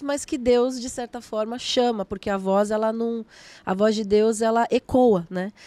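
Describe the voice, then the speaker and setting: A woman's dark, mellow tone at a fairly high pitch and a fairly slow pace, with ordinary pitch variation, in a dry, close sound with no echo. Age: 30s. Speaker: gospel singer and musician. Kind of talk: casual interview chat.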